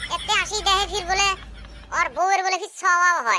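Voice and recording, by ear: In a cartoonish character voice, a man speaks at an extremely high pitch and a fairly quick pace, with a bright, sharp tone and fairly even intonation.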